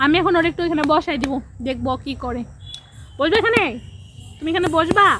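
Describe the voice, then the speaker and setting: Over noticeable background noise, a woman talks with an extremely high pitch. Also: ordinary pitch variation. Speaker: vlogger and mother. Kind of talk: casual vlog talk, partly baby talk to her child.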